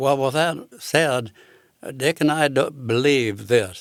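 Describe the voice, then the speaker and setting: The voice belongs to a man. He talks at a very slow pace. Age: 90s. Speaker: sculptor. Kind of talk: casual chat.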